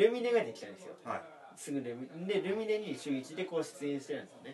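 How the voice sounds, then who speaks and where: Against noticeable background noise, a man with a high pitch talks at a moderate pace, his pitch swinging very widely. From Aomori. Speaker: comedian. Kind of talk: casual chat.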